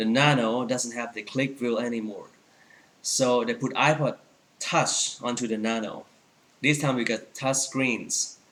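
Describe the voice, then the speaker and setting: A man speaks at a fairly slow pace and a medium pitch. His intonation is monotone and flat, with noticeable background noise behind him. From Thailand. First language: Thai. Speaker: Apple store employee and tech vlogger. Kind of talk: product review tutorial. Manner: halting, many fillers.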